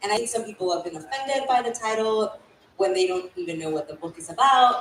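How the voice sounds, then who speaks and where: The delivery is very fast, with lively intonation. Noticeable background noise sits behind it. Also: woman, fairly high pitch for a woman, big swings in loudness. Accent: Spanish. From Mexico, raised in San Antonio, Texas. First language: Spanish. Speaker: author. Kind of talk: panel interview. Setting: stage with audience.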